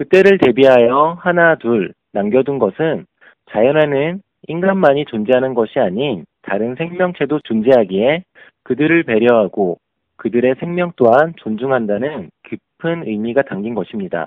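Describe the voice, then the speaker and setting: A man uses a normal speaking voice at medium pitch. He talks at a fairly slow pace with lively intonation. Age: 30s. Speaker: leadership education instructor. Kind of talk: prepared lecture.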